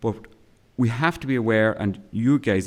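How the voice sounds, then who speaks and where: With ordinary pitch variation, a man delivers his words at a moderate pace. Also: very clean recording, silent background. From Ireland, County Cavan. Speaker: academic historian and geographer. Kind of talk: keynote lecture. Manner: hesitant, many fillers and repetitions.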